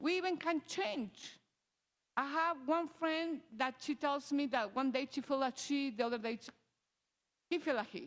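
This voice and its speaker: A high-pitched woman's voice with a strong non-native accent, moderate pace, ordinary pitch variation, and long, frequent pauses. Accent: strong foreign. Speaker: parent advocate for transgender child. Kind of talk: personal testimony. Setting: church service, in person and on video call. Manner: halting, with restarts.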